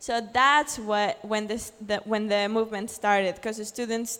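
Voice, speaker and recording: A woman with a Spanish accent and a fairly high pitch. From Mexico. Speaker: journalist and blogger. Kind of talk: conference talk. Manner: hesitant with fillers and restarts.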